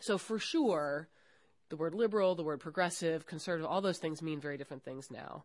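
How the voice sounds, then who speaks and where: A woman with a plain, everyday voice speaks at a fairly low pitch and a fairly quick pace. Her pitch varies in an ordinary way, and the background is quiet. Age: 40s. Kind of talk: recorded interview conversation. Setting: university.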